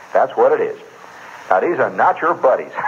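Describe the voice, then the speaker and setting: A man speaks against noticeable background noise. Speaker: radio storyteller. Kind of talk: live radio monologue. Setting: radio studio. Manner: casual, conversational.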